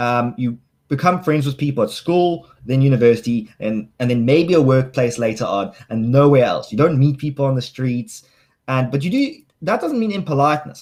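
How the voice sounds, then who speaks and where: A man's fairly high, somewhat breathy voice, lively in intonation and fairly quick in pace. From South Africa, Cape Town. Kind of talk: casual chat. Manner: halting.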